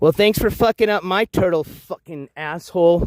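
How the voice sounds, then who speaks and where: A man speaks loudly at a fairly quick pace. The recording is very clean and dry, close-miked with a silent background and no echo. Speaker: IRL livestreamer. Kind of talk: live stream vlog.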